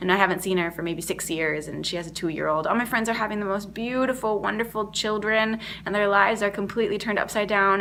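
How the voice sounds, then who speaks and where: A woman speaks loudly at a fairly quick pace, her tone animated, bright and sharp. Her pitch varies in an ordinary way. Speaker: performer and mindfulness workshop leader. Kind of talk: casual video diary. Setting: at home.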